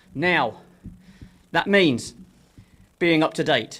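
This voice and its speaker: The voice has a London accent and a moderate pace. Its pitch variation is ordinary. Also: man. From London, England. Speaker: author and former library worker. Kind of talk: public comment. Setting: city council meeting.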